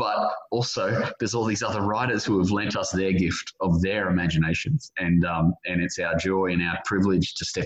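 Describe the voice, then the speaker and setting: An animated, enthusiastic man with an Australian accent, very deep, low pitch, fairly quick pace and hardly any pauses. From Australia, suburban Brisbane. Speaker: author and journalist. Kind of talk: interview. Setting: remote call.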